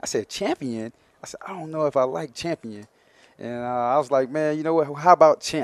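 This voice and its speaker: A man with an Alabama accent at a fairly quick pace, fairly high in pitch with ordinary pitch variation and big swings in loudness. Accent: Southern US (Alabama). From US South, Mobile, Alabama. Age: 30s. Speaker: professional football player. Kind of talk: interview.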